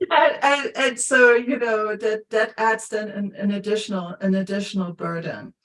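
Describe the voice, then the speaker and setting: Speaking with a Luxembourgish accent, a woman uses a fairly high pitch and ordinary pitch variation. She moves at a moderate pace with hardly any pauses. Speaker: coach. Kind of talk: casual chat. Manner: halting, many repetitions and fillers.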